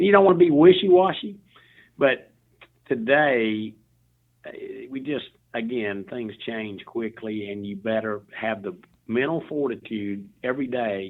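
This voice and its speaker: Here a man has a Southern US accent and a medium pitch. He talks at a moderate pace with lively intonation. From US South, Memphis, Tennessee. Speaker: CEO, author and motivational speaker. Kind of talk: interview conversation.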